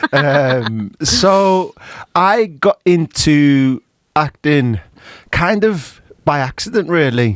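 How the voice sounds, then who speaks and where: At a very slow pace, a man with a fairly high voice speaks with lively intonation and very even loudness, in a dry, close sound with no echo. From Liverpool, England. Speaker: actor and director. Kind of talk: interview.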